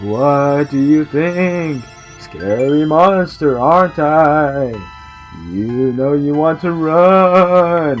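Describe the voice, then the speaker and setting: Clear music plays in the background as a man in a put-on character voice speaks very slowly at a fairly high pitch. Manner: menacing, taunting.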